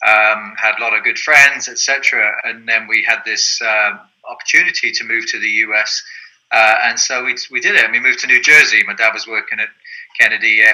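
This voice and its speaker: Speaking with an English accent, a man keeps a fairly quick pace. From southern England. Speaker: soccer league president. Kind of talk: interview. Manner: hesitant, many fillers.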